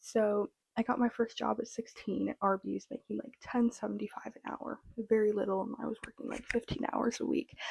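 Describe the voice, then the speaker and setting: A woman with an American accent and vocal fry, hardly pausing, in a dry, close sound with no echo. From US Midwest, rural Minnesota. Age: 20s. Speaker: vlogger, college student. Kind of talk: personal storytelling vlog. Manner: casual, filler-heavy.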